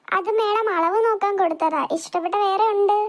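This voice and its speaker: A woman's cartoonish character voice at an extremely high pitch and a moderate pace. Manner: polite, deferential.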